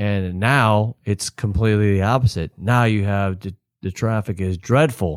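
This man has a normal speaking voice with a fairly low pitch, an American accent, ordinary pitch variation and a moderate pace. The recording is very clean with a silent background, and the sound is dry and close with no echo. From Florida (Palm Harbor, Tampa Bay area). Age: 50s. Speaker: local business owner. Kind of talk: casual interview.

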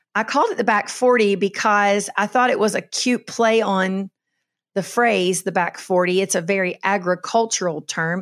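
A woman talks at a moderate pace with a Southern US accent and ordinary pitch variation. The recording is very clean, with a silent background. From Kentucky. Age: 50s. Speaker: podcast host, minister. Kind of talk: solo podcast monologue. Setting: solo recording with camera and microphone. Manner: casual with frequent fillers.

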